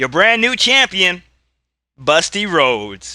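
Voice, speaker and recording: At a very slow pace, a man with a high pitch talks in a bright, sharp tone. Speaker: YouTuber playing tabletop wrestling game. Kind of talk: solo tabletop play commentary. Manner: loud.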